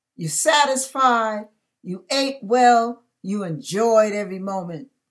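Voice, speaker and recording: A woman speaks at a very slow pace with lively intonation against a quiet background. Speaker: speaker. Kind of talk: sermon-like devotional talk. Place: home room. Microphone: webcam.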